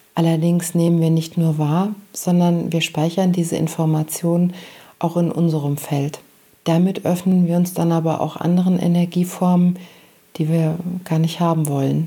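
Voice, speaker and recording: A woman's somewhat breathy, fairly low voice with a dark, mellow tone, calm and soothing, in monotone, flat intonation at very even loudness. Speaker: meditation guide and podcast host. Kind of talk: guided meditation. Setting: studio with background music. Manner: slow, soft, calm and soothing; gentle, pausing often.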